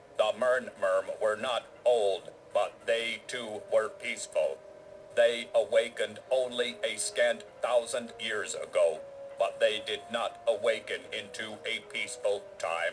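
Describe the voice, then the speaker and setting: A man puts on a robotic character voice at a fairly slow pace. Clear background noise runs behind him. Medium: video game. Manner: formal, stilted, expository.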